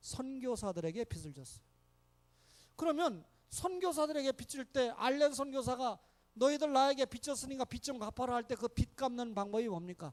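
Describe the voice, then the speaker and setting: Animated and extremely high-pitched, a man speaks at a moderate pace in a dry, close sound with no echo. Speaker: pastor. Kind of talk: sermon.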